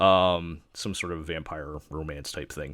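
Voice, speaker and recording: A man speaks with an American accent. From New York. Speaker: anime podcast host. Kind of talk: casual chat. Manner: halting.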